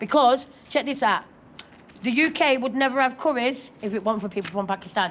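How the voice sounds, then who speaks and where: A woman's high voice in a South Yorkshire accent, at a fairly quick pace with ordinary pitch variation. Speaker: local resident. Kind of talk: street interview. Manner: fast.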